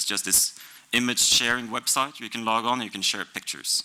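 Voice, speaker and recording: A man's medium-pitched voice with a bright, sharp tone, vocal fry, ordinary pitch variation and a fairly quick pace. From Norway. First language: Norwegian. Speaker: software developer. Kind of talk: conference talk.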